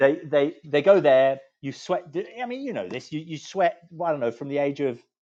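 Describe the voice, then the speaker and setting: This man's tone is dark and mellow. His pitch is fairly high, with lively intonation. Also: moderate pace, big swings in loudness. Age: 60s. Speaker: law firm managing partner. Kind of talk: interview. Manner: halting, with many repetitions.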